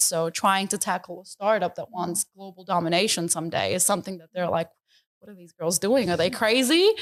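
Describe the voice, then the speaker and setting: Speaking at a very fast pace, a woman with a New York accent keeps to a medium pitch. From US, New York City (Bronx). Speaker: business founder. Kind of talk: interview.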